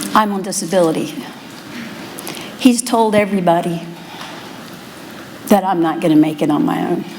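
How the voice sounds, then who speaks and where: Against noticeable background noise and audible room echo, a woman speaks at a moderate pace in a fairly low pitch, with ordinary pitch variation and long, frequent pauses. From US, Maryland. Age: 50s. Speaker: workshop attendee. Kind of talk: testimony.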